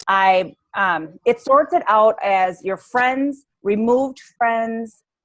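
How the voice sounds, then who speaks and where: A woman talks in a normal speaking voice with a fairly high pitch. Her intonation is lively. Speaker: fitness coach. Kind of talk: training call. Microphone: poor connection.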